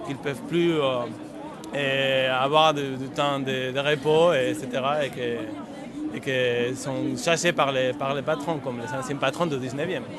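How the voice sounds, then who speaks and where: Very slowly and with fairly even intonation, a man with a fairly high pitch and a slight Spanish accent speaks amid audible room echo and noticeable background noise. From Spain. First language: Spanish (speaking French). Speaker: union activist. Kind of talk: street interview. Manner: halting, many repetitions.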